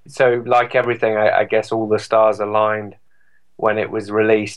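A man's fairly low, flat monotone in a British accent at a moderate pace. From England. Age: 40s. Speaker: electronic music DJ and composer. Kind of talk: interview.

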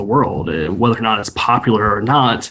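A man at a moderate pace. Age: 20s. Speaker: metal band vocalist. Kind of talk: interview. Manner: halting.

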